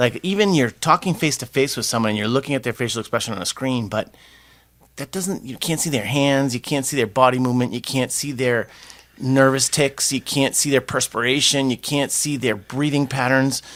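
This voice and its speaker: A man talks at a fairly quick pace in a medium pitch with ordinary pitch variation. It is a plain, everyday voice. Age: 60s. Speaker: podcast co-host. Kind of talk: casual chat.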